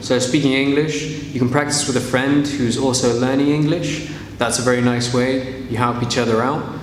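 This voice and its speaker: A man with medium pitch and fairly even intonation is heard over noticeable background noise. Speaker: English teacher. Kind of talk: casual talk to camera.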